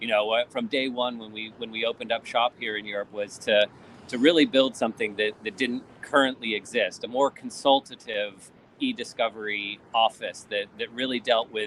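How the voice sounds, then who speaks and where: A man with an American accent and an ordinary speaking voice talks at a moderate pace, medium in pitch, with fairly even intonation. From Vermont, US. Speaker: e-discovery consultant. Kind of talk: casual chat.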